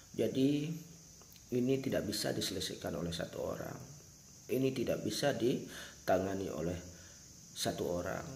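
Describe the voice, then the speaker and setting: A man at medium pitch speaks at a moderate pace with lively intonation and a somewhat breathy sound, leaving long, frequent pauses. Room echo is audible. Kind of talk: spoken address to viewers. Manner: earnest, emphatic.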